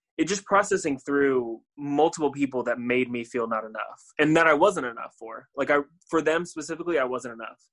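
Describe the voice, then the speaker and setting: A man with an American accent speaks at a fairly quick pace in a fairly high pitch, with ordinary pitch variation. He has a plain, everyday voice, and the background is quiet. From US, Florida (Tampa). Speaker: musician and creative director. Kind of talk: interview conversation.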